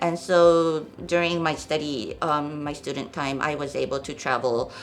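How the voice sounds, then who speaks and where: A woman with a Japanese accent speaks with a very deep, low pitch. Room echo is audible, and background noise is noticeable. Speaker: NGO programs director. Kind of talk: podcast interview. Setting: studio. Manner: hesitant, many fillers.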